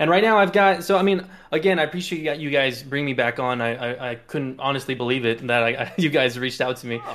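A man with an American accent, fairly high in pitch, at a very fast pace with hardly any pauses and ordinary pitch variation. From South Texas, near the Mexican border. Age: 30s. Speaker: Twitch streamer and fighting game player. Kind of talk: casual chat.

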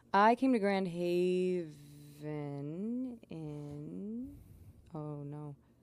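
Soft-spoken and fairly low-pitched, a woman talks at a very slow pace with lively intonation. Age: 20s. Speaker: singer-songwriter and photographer. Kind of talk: casual chat. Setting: studio.

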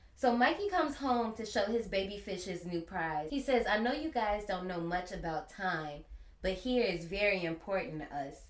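A woman with an American accent, medium pitch, lively intonation and a moderate pace, over noticeable background noise. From US Midwest (Gary, Indiana). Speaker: podcast host, horror movie reviewer. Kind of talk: casual chat.

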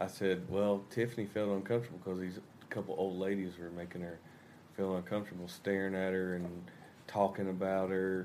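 A man speaks at a fairly quick clip with a Southern US accent. His very deep, low voice stays monotone and flat. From US South. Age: 20s. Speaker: rock band musician. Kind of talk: casual chat. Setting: hotel room.

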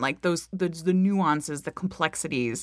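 On a very clean recording with a silent background, a woman with an American accent talks at a moderate pace in a fairly low pitch and an animated tone. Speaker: podcast host. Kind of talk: casual interview.

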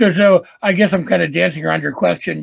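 Speaking at a fairly quick pace with an American accent, a man shows vocal fry in a dry, close sound with no echo. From Wisconsin, US Midwest. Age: 40s. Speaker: music executive. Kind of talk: casual interview. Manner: animated.

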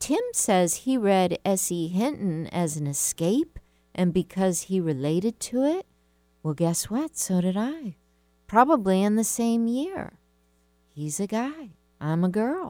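Very wide pitch swings run through a woman's dark, mellow tone in a very clean recording with a silent background. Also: medium pitch for a woman, fairly slow pace, dry, close sound with no echo. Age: 50s. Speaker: radio host and writing coach. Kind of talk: talk radio monologue with listener questions. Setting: radio studio.

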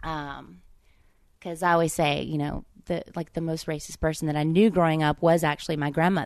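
A woman speaks fairly quickly in a Southern US accent, her pitch very deep and low. Her intonation stays monotone and flat against a quiet background. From US South, Oxford, Mississippi. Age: 30s. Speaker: stand-up comedian. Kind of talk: casual chat.

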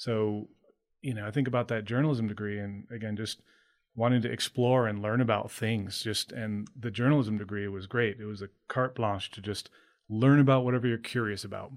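A normal speaking voice with an American accent moves at a fairly quick pace, its intonation fairly even. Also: man, medium pitch for a man. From Maine, US. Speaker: bike fitter. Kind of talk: interview conversation.

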